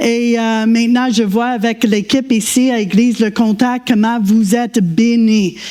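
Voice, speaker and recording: Noticeable background noise accompanies this clip. A woman speaks in a fairly high pitch with fairly even intonation. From Quebec. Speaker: guest preacher. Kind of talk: sermon. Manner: halting.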